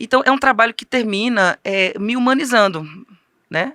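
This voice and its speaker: Speaking at a fairly quick pace, a woman's bright, sharp tone comes through in a dry, close sound with no echo. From Northeast Brazil. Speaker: author, teacher and women's ministry speaker. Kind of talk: interview. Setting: studio.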